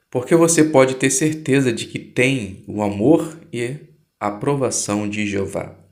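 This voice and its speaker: Lively intonation carries along at a fairly slow pace with audible room echo. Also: man. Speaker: Bible study channel host. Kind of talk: religious study explanation. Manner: informal, conversational.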